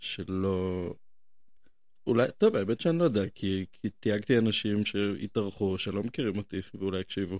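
On a very clean recording with a silent background, a man with a fairly low pitch and ordinary pitch variation speaks at a moderate pace. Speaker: podcast host. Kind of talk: casual chat.

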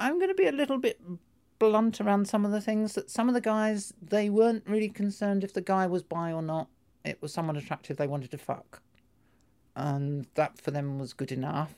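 This woman talks at a fairly quick pace, her pitch medium and her tone dark and mellow. Her pitch swings very widely. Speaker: former helpline volunteer. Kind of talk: interview testimony.

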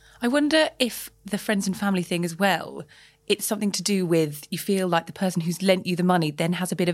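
In a very clean recording with a silent background, a woman talks at a fairly quick pace and medium pitch with a London accent and ordinary pitch variation. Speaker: journalist, podcast co-host. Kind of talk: casual chat.

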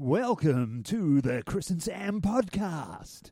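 A man uses a put-on character voice with a fairly high pitch and very wide swings in it. His pace is very slow. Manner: polished announcer delivery.

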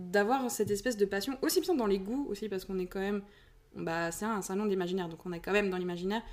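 Recorded very cleanly against a silent background, a woman with a medium pitch speaks with lively intonation. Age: young. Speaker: aspiring fantasy author and shopkeeper. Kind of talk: casual chat. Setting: face-to-face recording in same room.

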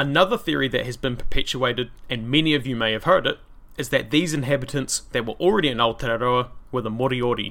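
A man at medium pitch, very fast pace, ordinary pitch variation. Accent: New Zealand. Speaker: history podcast host. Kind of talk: solo podcast narration. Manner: casual, conversational.

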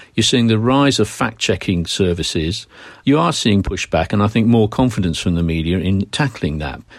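A man with a British accent talks at a fairly low pitch with lively intonation, recorded very cleanly against a silent background. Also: moderate pace. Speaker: journalism professor and former news executive. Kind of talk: interview.

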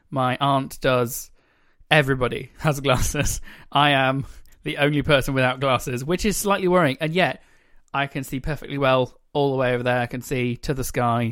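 A man with an English accent at medium pitch and moderate pace, intonation fairly even, in a very clean recording with a silent background. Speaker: podcast co-host. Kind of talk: casual chat.

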